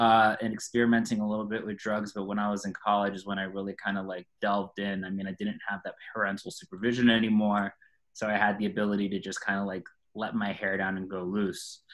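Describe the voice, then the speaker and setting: A man's fairly low voice with an American accent, very fast and monotone, with flat intonation. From Florida, US. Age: 30s. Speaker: person in addiction recovery. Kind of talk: testimony.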